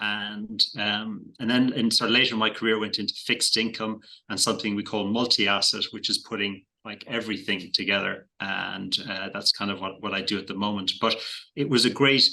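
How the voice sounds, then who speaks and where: A man with an Irish accent speaks at a fairly quick pace in a fairly low voice, his tone bright and sharp and his intonation fairly even. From Ireland. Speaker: investment manager. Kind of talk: podcast interview. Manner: hesitant, many fillers and repeated words.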